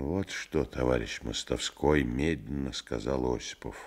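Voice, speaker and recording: Against a quiet background, a man talks at a very slow pace with vocal fry. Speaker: actor reading a novel aloud. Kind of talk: literary audiobook reading. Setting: vintage studio radio recording.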